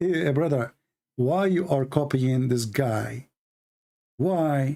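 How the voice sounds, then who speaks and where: This man talks with lively intonation. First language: not English. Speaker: religious critic / debater. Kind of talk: heated rant. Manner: animated.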